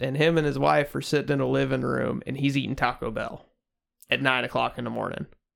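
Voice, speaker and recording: Very clean audio of a man speaking, the background silent. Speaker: podcast host. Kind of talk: casual banter, crude comedy podcast. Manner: crude, joking, interrupts.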